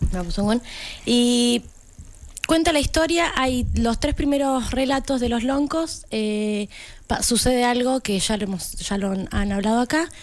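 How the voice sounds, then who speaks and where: This woman's pitch sits high, with ordinary variation. She talks at a fairly slow pace. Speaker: community radio contributor. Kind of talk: casual chat.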